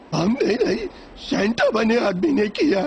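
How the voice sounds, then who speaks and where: A fairly high-pitched put-on character voice over clear background noise. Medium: fan dub. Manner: goofy.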